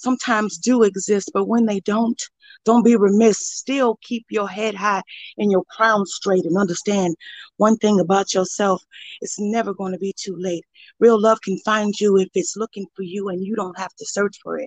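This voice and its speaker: With an American accent and a plain, everyday voice, a woman at medium pitch speaks at a moderate pace with fairly even intonation, big swings in loudness and a dry, close sound with no echo. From Joliet, Illinois, US Midwest. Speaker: poet and former preschool teacher. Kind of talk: spoken word poetry, freestyle. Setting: online live stream.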